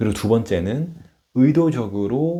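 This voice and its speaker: A man's medium-pitched voice, dark and mellow in tone, at a fairly slow pace with very wide pitch swings, in a very clean recording with a silent background. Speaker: stuttering coach and former stutterer. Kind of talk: informal advice talk to camera. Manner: stutter.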